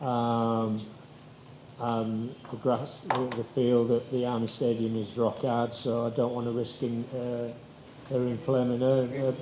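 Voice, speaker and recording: Over noticeable background noise and audible room echo, a man talks in an English accent. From England. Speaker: football coach. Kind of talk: press conference.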